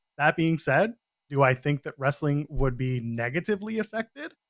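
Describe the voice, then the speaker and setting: An unremarkable speaking voice, a man's at fairly high pitch, moves at a moderate pace with lively intonation, recorded very cleanly with a silent background and a dry, close sound with no echo. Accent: Canadian. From Canada. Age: 40s. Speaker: wrestling podcaster. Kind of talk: casual chat.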